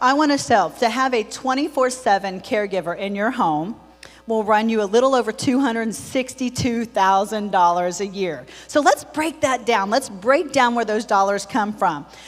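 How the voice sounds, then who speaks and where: Over music in the background, a woman speaks in an animated tone with lively intonation and a fairly high pitch. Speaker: senior care business owner and speaker. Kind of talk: conference presentation. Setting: stage with live audience. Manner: fast.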